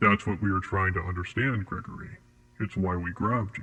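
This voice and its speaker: At a fairly quick pace, a man uses a put-on character voice with a fairly low pitch. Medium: audio drama. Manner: calm, formal, detached.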